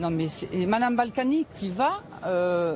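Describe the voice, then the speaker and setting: A woman talks very slowly while noticeable background noise carries on behind her. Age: 60s. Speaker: protester. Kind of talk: street interview. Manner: animated.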